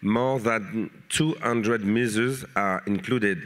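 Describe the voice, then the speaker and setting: A man in a French accent at a fairly slow pace, with ordinary pitch variation. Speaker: mayor and politician. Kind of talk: reading a prepared panel statement. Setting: conference panel. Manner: halting.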